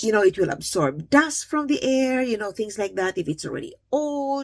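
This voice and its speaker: A woman with a warm tone and a somewhat breathy, fairly high pitch talks at a fairly quick pace in a dry, close sound with no echo. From Philippines. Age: 60s. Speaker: beauty and self-improvement vlogger. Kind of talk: makeup tutorial. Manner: warm, encouraging.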